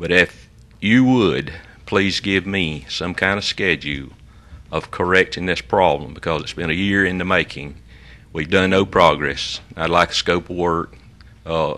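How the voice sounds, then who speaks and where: With a Southern US accent, a man speaks fairly slowly in a very deep, low voice whose tone is bright and sharp, with ordinary pitch variation. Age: 70s. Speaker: resident addressing the commission. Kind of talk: public comment.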